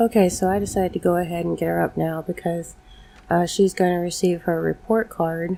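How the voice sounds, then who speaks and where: Speaking at a fairly quick pace, a woman uses a dark, mellow tone, a fairly low pitch and monotone, flat intonation. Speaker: gaming video creator. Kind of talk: gameplay commentary. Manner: casual, chatty.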